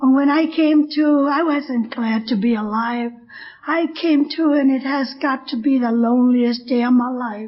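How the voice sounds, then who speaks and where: With a high pitch, a woman speaks using fairly even intonation. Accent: American. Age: 70s. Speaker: AA speaker. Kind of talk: recovery testimony.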